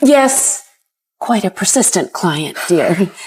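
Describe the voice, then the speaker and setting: A woman puts on a character voice at a medium pitch, swinging it very widely. She speaks at a very slow pace. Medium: short film.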